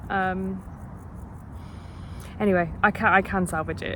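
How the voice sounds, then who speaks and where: A quiet woman's voice with audible room echo. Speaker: PhD student vlogger. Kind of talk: casual vlog monologue. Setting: outdoors in a park. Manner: hesitant, many fillers.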